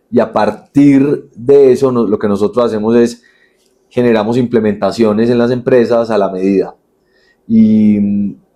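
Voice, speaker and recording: This man has a medium-pitched voice with a dark, mellow tone. He speaks at a fairly slow pace with fairly even intonation. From Colombia, Manizales (paisa region). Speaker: entrepreneur, company CEO. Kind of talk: podcast interview.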